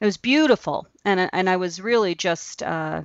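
A woman speaks at a fairly slow pace in a plain, everyday voice. Her pitch sits in the middle range. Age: 50s. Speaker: abstract artist. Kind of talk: casual chat.

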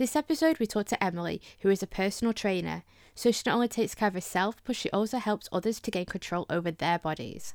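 A woman with a Lancashire accent, medium pitch, ordinary pitch variation and a very fast pace, in a very clean recording with a silent background and a dry, close sound with no echo. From Lancashire, northern England. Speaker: podcast host. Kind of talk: scripted narration.

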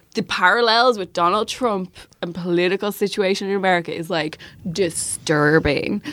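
A woman with a Dublin accent speaks in a fairly low pitch. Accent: Irish, south Dublin. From Ireland, Dublin. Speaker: journalist. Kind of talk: casual chat.

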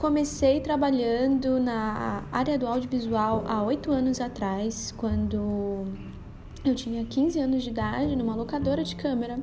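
A woman's fairly high voice, fairly slow, with ordinary pitch variation and audible room echo. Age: 20s. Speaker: camera assistant. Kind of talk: personal monologue.

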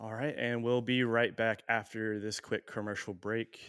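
On a very clean recording with a silent background and a dry, close sound with no echo, a man with an American accent speaks at a medium pitch and a moderate pace in an unremarkable speaking voice. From US West Coast, San Diego. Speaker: podcast host. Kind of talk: casual chat.

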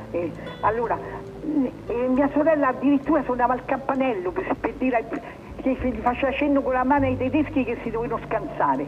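Delivered at a fairly quick pace with long, frequent pauses, the speech has ordinary pitch variation over noticeable background noise. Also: woman, high pitch for a woman. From Italy, Rome. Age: 90s. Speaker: former partisan courier. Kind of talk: testimony. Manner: halting.

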